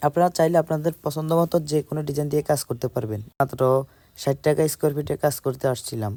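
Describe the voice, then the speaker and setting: A man's dark, mellow voice, fairly high in pitch with ordinary pitch variation, dry and close with no echo, in a very clean recording with a silent background. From Bangladesh, Comilla. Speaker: PVC ceiling installer. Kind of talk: sales pitch.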